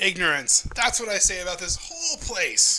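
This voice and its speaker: A man's put-on character voice, high-pitched, at a moderate pace. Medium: actual play. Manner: talkative, indignant, quick to complain.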